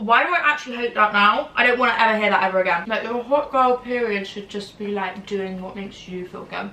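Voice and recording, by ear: With audible room echo behind her, a woman talks at a fairly quick pace in a bright, sharp tone with ordinary pitch variation. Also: medium pitch for a woman.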